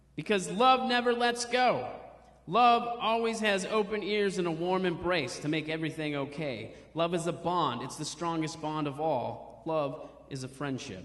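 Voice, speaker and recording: Lively intonation carries a voice at a moderate pace over noticeable background noise. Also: man, high pitch for a man. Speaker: stand-up comedian and poet. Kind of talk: poetry reading on stage.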